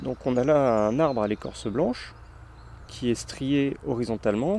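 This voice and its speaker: The speaker is a man with a medium-pitched voice. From Brittany (Finistère), France. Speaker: podcast host. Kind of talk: casual chat.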